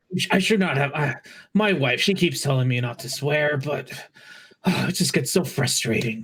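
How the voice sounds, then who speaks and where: A man puts on a raspy, fairly high character voice, speaking at a moderate pace with long, frequent pauses. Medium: actual play. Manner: blunt, gruff.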